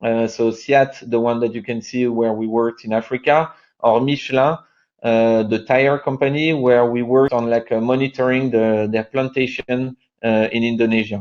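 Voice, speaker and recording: In a French accent, a man of medium pitch speaks at a moderate pace with monotone, flat intonation. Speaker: company co-founder presenting. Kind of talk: webinar presentation. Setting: online webinar. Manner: halting, many fillers.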